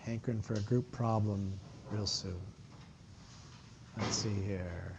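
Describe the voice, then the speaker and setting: A man talks at a fairly slow pace in a normal speaking voice, fairly low in pitch, with fairly even intonation. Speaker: university lecturer. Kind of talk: lecture.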